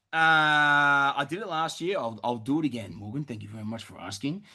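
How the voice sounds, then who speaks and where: Over a quiet background, a man with an Australian accent speaks loudly at a fairly high pitch and fairly quick pace. His tone is bright, sharp and animated. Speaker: property investment advisor hosting Q&A. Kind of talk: live webinar Q&A. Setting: webinar.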